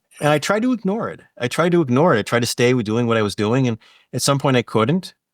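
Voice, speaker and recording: Speaking at a very fast pace with lively intonation, a man is heard in a very clean recording with a silent background and a dry, close sound with no echo. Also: medium pitch for a man. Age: 60s. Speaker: hypnotist. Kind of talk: casual chat.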